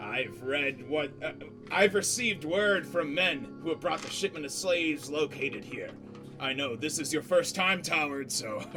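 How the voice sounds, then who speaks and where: Someone performs a put-on character voice at a moderate pace, with clear music in the background. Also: man, fairly high pitch for a man. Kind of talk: pirate speech. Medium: actual play. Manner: gruff, paternal.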